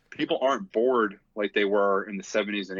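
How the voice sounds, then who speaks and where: A man speaks with a fairly low voice at a moderate pace. His intonation stays flat and monotone. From Philadelphia, US. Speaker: drum corps instructor and former marcher. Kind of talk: podcast interview. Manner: casual, with many fillers and restarts.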